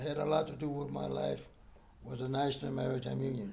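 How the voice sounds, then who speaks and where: A man speaks with an American accent. Some room echo can be heard. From Texas, Galveston. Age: 80s+. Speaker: war veteran. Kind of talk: interview. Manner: halting.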